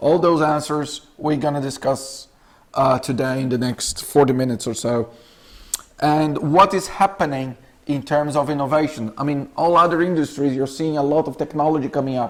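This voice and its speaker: A man with a Brazilian accent, moderate pace and fairly even intonation. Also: fairly high pitch for a man. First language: Portuguese. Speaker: clinical research representative. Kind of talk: lecture. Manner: halting, many fillers.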